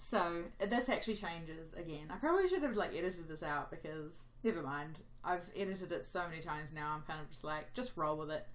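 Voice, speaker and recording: Speaking at a fairly quick pace with hardly any pauses, a woman with a fairly low pitch uses ordinary pitch variation, and audible room echo surrounds her voice. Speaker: gaming youtuber. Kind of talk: gameplay commentary voiceover. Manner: rambling, casual.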